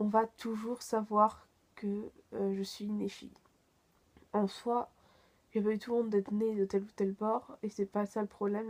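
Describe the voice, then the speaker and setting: Her speech is fairly slow and monotone, with a flat intonation, as a woman talks at a fairly high pitch. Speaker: youtuber. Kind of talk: personal vlog reflection. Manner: hesitant, many fillers.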